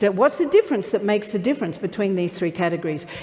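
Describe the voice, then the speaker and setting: An upbeat woman's voice at medium pitch, swinging very widely in pitch, over noticeable background noise. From Australia. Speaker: motivational keynote speaker. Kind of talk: live keynote speech to an audience. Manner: upbeat, humorous.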